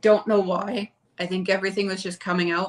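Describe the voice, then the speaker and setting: A woman speaks in a monotone, flat way with a Canadian accent while music plays in the background. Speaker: family vlogger. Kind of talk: casual chat.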